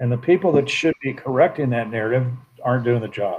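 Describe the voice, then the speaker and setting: Medium in pitch, this man's voice is somewhat breathy. His pitch variation is ordinary. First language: Spanish. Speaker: political commentator. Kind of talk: casual chat.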